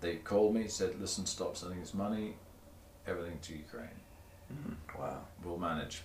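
A somewhat breathy man with a very deep, low pitch talks at a fairly quick pace between long, frequent pauses, with audible room echo. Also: ordinary pitch variation. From southern England, Torbay (Devon coast). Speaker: motorcycle journalist. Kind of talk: casual chat. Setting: garage.

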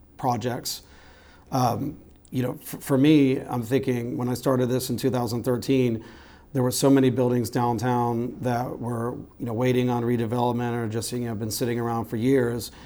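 In a room with audible echo, a man speaks at medium pitch and a moderate pace with monotone, flat intonation. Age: 40s. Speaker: photographer. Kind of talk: casual interview.

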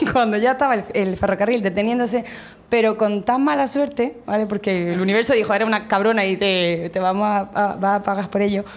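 Fairly quick speech from a woman, medium-pitched, with ordinary pitch variation. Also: very even loudness. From Catalonia, Vic. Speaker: tourist information officer. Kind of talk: storytelling.

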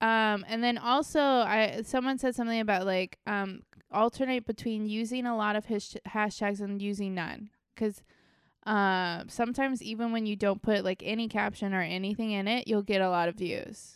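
In a very clean recording with a silent background, a woman talks at a moderate pace with fairly even intonation. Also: fairly high pitch for a woman. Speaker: podcast host. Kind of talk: casual chat.

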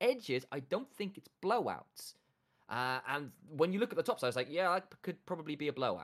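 Speaking with a London accent at a fairly quick pace, a man swings his pitch very widely. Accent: London geezer accent, put on. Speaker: esports podcast co-host. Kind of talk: casual chat. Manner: joking, playful.

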